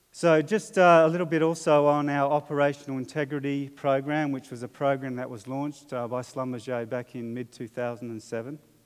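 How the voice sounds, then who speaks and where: At a fairly quick pace with hardly any pauses, a man speaks at a fairly high pitch, his loudness swinging widely. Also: ordinary pitch variation. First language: not English. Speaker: oil industry safety manager. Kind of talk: conference presentation. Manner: halting, many fillers.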